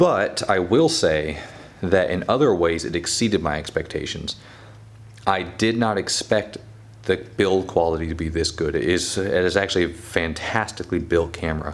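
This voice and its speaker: Noticeable background noise beneath a very deep, low-pitched male voice. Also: ordinary pitch variation, moderate pace. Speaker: photography youtuber. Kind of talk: casual camera review monologue. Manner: hesitant, stumbles over words.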